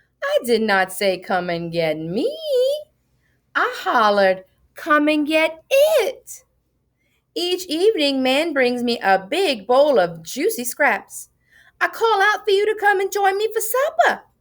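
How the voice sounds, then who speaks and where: A woman puts on a whiny character voice in an extremely high pitch. She speaks at a fairly slow pace in a very clean recording with a silent background. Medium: read story. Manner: whining, cajoling.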